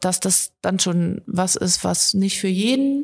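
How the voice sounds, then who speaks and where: At a fairly slow pace, a woman talks in a plain, everyday voice at a medium pitch. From Harz region, Germany. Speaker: video editor, videographer and photographer. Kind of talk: casual interview. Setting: studio.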